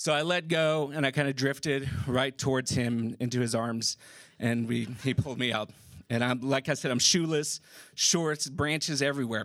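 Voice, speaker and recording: A man with an American accent uses a normal speaking voice at a moderate pace, with fairly even intonation and very even loudness, on a very clean recording with a silent background. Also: medium pitch for a man. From San Antonio, Texas. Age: 40s. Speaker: storyteller. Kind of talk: live storytelling. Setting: stage with audience.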